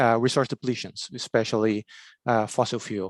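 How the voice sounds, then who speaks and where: A man with a Brazilian accent speaks at a moderate pace, the sound dry and close with no echo against a quiet background. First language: Portuguese. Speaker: agricultural researcher. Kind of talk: conference presentation. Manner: halting, many fillers.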